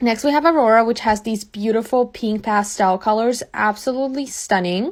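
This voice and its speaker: Her fairly high pitch shows ordinary pitch variation as the woman talks at a fairly quick pace. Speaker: beauty content creator. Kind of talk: makeup tutorial. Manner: casual, filler-heavy; whispering at one point.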